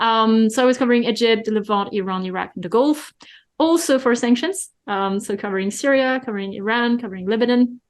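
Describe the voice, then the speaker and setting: In a French accent, the speaker talks at a very fast pace against a quiet background. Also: woman, fairly high pitch for a woman, ordinary pitch variation. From France. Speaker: economic forecaster and author. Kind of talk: interview.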